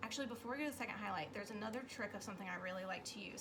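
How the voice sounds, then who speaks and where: In a room with audible echo and noticeable background noise, a woman talks at a fairly high pitch with ordinary pitch variation. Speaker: makeup sales consultant. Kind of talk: tutorial. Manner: casual with fillers.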